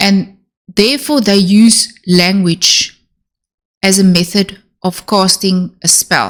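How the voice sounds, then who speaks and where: A woman speaks at a very slow pace, her pitch medium and her intonation fairly even. Her loudness stays very even throughout. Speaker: self-help YouTuber on narcissistic abuse. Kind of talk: Q&A monologue. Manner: slow, deliberate.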